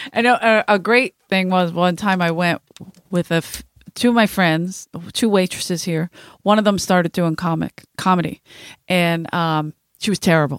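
At a moderate pace, a woman with a Philadelphia accent speaks in a fairly low pitch, the sound dry and close with no echo. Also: ordinary pitch variation. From South Philadelphia. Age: 40s. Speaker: podcast host, comedian. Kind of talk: casual chat.

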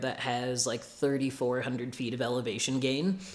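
A man with an American accent speaks at a fairly slow pace in an unremarkable speaking voice. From US Midwest, Illinois. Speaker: ultrarunner. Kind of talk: casual interview. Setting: in person, sitting together.

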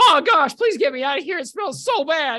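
Someone does a put-on character voice that is squeaky and high in pitch. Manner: pleading, distressed.

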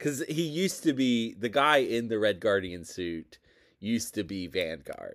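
Heard on a very clean recording with a silent background, a man speaks at medium pitch with very wide pitch swings. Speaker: co-host, tabletop gamer. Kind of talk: casual chat.

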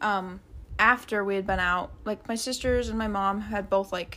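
With an unremarkable speaking voice, a woman talks at a medium pitch and with fairly even intonation. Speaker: podcast co-host, former FLDS member. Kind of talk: casual chat.

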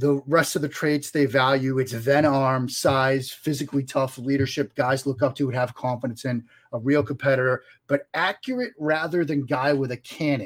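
Speaking in a Boston accent, a man uses a fairly high pitch. His pace is moderate and his intonation fairly even. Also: very clean recording, silent background. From Boston area, US. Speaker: sports journalist guest. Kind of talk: interview.

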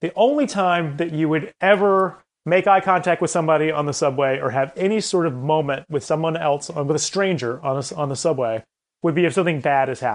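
Fairly high in pitch, a man talks at a very fast pace with an American accent. His pitch varies in an ordinary way. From US South, Columbia, South Carolina. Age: 30s. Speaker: comedy group founder and director. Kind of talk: interview conversation.

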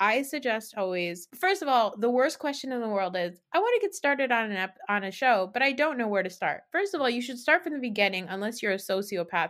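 A woman's fairly high voice at a very fast pace, with very wide pitch swings and hardly any pauses. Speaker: podcast co-host. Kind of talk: casual chat recapping reality TV. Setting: remote recording with video.

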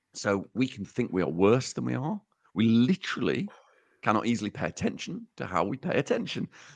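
The sound is dry and close, with no echo. A man at a medium pitch shows very wide pitch swings and vocal fry. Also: fairly quick pace. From England, Uttoxeter, Staffordshire. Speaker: psychologist. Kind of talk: casual chat.

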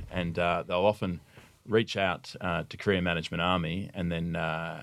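A man with an Australian accent speaks in a very deep, low pitch with fairly even intonation. The recording is very clean, with a silent background. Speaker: army officer. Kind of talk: interview. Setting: studio.

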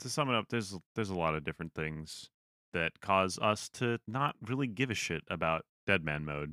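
A man speaks at a moderate pace with a very deep, low pitch, lively intonation and a bright, sharp tone. The recording is very clean and dry, close with no echo, over a silent background. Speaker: podcast host. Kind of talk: casual chat. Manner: sarcastic, blunt, profane.

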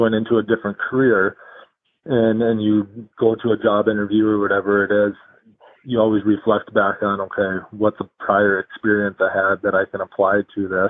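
At a fairly quick pace, a man with an unremarkable speaking voice talks at a fairly low pitch. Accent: American. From Minnesota, Alexandria. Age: 30s. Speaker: high school hockey coach, former pro player. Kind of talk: casual interview.

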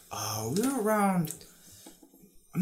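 A man talks at a moderate pace with an American accent. The room adds audible echo. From New York City, Queens. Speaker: university student and dancer. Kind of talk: casual chat.

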